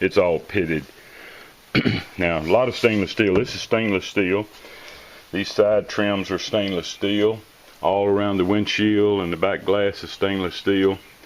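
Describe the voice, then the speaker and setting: Over noticeable background noise, a man speaks at a fairly slow pace. He leaves long, frequent pauses. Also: fairly low pitch for a man. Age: 70s. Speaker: car restoration hobbyist. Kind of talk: casual walkthrough narration. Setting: shed. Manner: casual with filler words.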